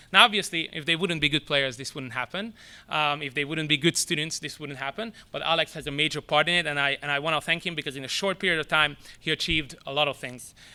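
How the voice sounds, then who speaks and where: With a non-native accent, a man talks at a very fast pace in a fairly high voice, bright and sharp in tone, on a very clean recording with a silent background. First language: not English. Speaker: soccer academy director. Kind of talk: press conference speech. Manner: halting.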